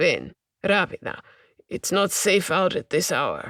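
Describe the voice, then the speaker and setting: A raspy, put-on character voice at a middle pitch moves at a fairly slow pace in a very clean recording with a silent background. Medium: read story. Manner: warm, gentle.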